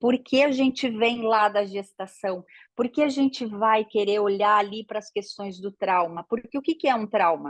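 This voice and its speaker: A woman speaks fairly slowly with hardly any pauses in an animated tone, her fairly high pitch showing ordinary variation, the sound dry and close with no echo. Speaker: systemic therapy teacher. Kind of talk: online lecture. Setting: live online class.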